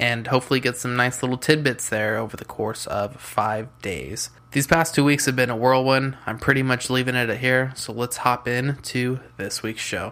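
A man's plain, everyday voice at medium pitch, with fairly even intonation, a moderate pace and hardly any pauses. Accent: American. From US West Coast (San Diego, California). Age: 20s. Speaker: podcast host, freelance web designer. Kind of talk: solo podcast monologue.

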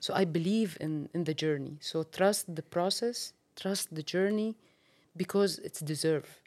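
A woman with an Arabic accent speaks at a moderate pace in a fairly low voice, her pitch varying in an ordinary way. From Syria. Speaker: ministry worker. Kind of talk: interview testimony.

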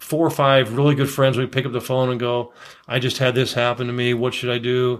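A plain, everyday voice from a man with an American accent, medium pitch, fairly even intonation and fairly quick pace, in a very clean recording with a silent background. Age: 60s. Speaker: realtor. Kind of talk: interview.

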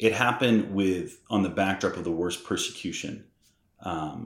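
A man with an American accent speaks at a moderate pace in a normal speaking voice, his fairly low pitch showing ordinary variation on a very clean recording with a silent background. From US Northeast (Massachusetts). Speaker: missionary. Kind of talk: casual interview.

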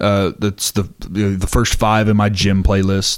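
In a very clean recording with a silent background, a man speaks very slowly at a fairly low pitch, his intonation monotone and flat. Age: 20s. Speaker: pyrotechnics crew member for a touring rock band. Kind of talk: casual interview chat.

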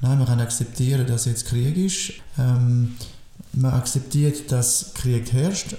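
At a very slow pace, a man talks with fairly even intonation. His pitch sits in the medium range. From Biel, Switzerland (French-speaking). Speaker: sports teacher and coach. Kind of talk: casual chat. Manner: halting.

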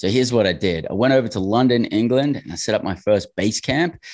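A man with an Australian accent at a fairly quick pace, with ordinary pitch variation, in a very clean recording with a silent background. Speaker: real estate investor. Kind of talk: interview.

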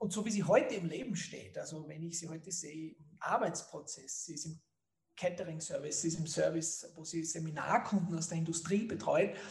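Big swings in loudness mark a man's high voice as he talks at a fairly quick pace with ordinary pitch variation. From Austria, Styria (Leoben). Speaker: marketing entrepreneur. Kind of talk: interview.

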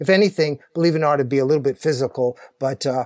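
The pitch varies in an ordinary way, and the recording is very clean with a silent background. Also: man, dry, close sound with no echo. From Canada. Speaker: ultramarathon runner. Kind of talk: interview. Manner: halting.

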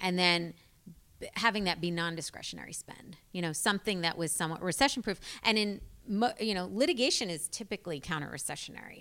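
On a very clean recording with a silent background, a woman with an American accent speaks very fast at a medium pitch, using ordinary pitch variation and a bright, sharp tone. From US South, Charlotte, North Carolina. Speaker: software company founder and CEO. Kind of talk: interview conversation. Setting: office.

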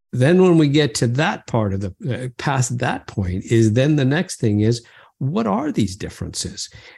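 Lively intonation carries a somewhat breathy voice. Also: man, medium pitch for a man, moderate pace. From moved between Canada, Brazil and England as a child. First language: not English. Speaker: business professor. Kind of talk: interview. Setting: podcast interview.

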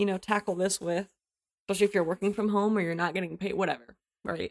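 In a very clean recording with a silent background and dry, close sound with no echo, a woman with an ordinary speaking voice talks at medium pitch with fairly even intonation. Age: 30s. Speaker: high school English teacher. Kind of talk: casual chat.

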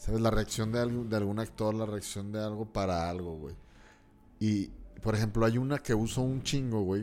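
His voice fairly low, a man talks with a moderate pace and fairly even intonation. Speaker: comedian. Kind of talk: casual chat.

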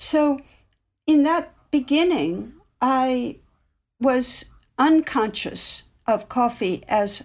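A woman with an American accent and a high pitch speaks at a very slow pace with lively intonation and long, frequent pauses, on a very clean recording with a silent background. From US Midwest. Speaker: anthropology professor and author. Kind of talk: interview.

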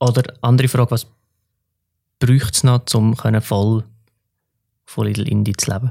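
A man with a dark, mellow tone sounds somewhat breathy and leaves long, frequent pauses. The recording is very clean with a silent background, dry and close with no echo. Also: medium pitch for a man, fairly even intonation, fairly slow pace. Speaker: podcast host. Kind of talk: casual interview.

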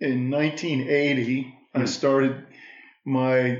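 A man speaks at a medium pitch in a flat monotone. The room echo is audible. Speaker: financial services business owner. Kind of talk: casual interview conversation.

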